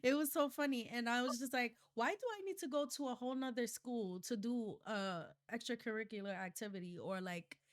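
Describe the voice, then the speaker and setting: In a New York accent, a woman talks fairly quickly at a high pitch with lively intonation and hardly any pauses. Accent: New York City. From New York City, Harlem. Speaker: podcast host. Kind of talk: casual interview chat.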